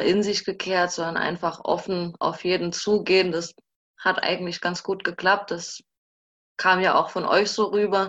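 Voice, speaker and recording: Here a woman speaks at a medium pitch with fairly even intonation, in an unremarkable speaking voice. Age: 20s. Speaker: social work student and former intern. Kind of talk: casual interview. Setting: video call.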